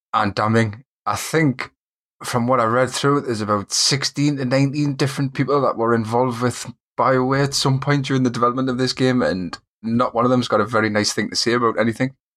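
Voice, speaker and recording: Speaking at a very fast pace with a Geordie accent, a man of medium pitch keeps fairly even intonation and very even loudness on a very clean recording with a silent background. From northern England, Newcastle area. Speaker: gaming podcast co-host. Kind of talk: casual chat.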